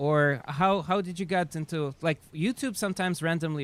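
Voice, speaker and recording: A man is speaking. He has a Russian accent. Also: dry, close sound with no echo. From Siberia, Russia. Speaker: chess streamer. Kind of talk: casual live stream chat. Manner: halting, many fillers.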